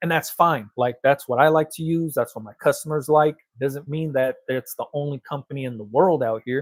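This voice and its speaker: The speech comes with an American accent, hardly any pauses and ordinary pitch variation. Loudness swings a lot, in a dry, close sound with no echo. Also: man, fairly high pitch for a man, moderate pace. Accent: Los Angeles accent, noted by cousins. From Los Angeles. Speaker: t-shirt printing business owner and content creator. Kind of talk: casual livestream chat. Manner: casual, animated.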